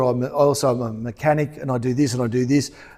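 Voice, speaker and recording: A man speaks at a fairly quick pace in an Australian accent. His tone is dark and mellow. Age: 50s. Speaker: pastor. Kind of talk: stage interview. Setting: church stage with audience. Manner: hesitant, many ums.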